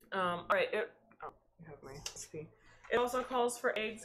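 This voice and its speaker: A woman speaks at a moderate pace. Her tone is bright and sharp. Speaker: home baker streamer. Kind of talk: cooking tutorial. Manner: hesitant, many fillers.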